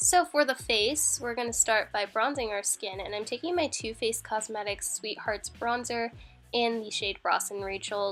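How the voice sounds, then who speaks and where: Music plays behind a woman speaking at a moderate pace, her voice fairly high with ordinary pitch variation. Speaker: makeup artist. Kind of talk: makeup tutorial voiceover. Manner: casual, chatty.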